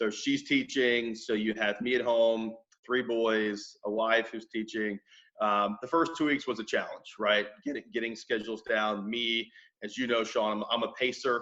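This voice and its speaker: A loud man's voice, bright and sharp, with fairly even intonation at a moderate pace. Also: medium pitch for a man. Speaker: mortgage company owner. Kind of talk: interview.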